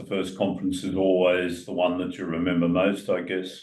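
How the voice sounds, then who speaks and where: A man with an Australian accent, very deep and low in pitch, at a moderate pace. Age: 80s+. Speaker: retired financial adviser, retirement coach. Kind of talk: casual chat.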